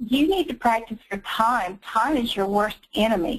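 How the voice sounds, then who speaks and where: Here a woman speaks with a Southern US accent. Her pitch is fairly high and her pace fairly slow. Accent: Southern US, noticeable. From North Carolina. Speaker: medical coding instructor. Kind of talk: webinar interview.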